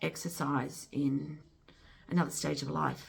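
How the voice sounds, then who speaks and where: A woman's very deep, low pitch with vocal fry. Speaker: amateur artist, channel owner. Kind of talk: casual vlog chat. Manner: soft-spoken; halting, many fillers. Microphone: no microphone, camera mic.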